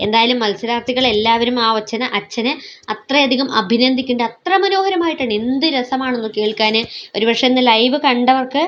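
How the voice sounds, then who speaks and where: This woman's voice sits high in pitch and shows ordinary pitch variation. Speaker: YouTube vlogger, reality show commentator. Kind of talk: vlog commentary.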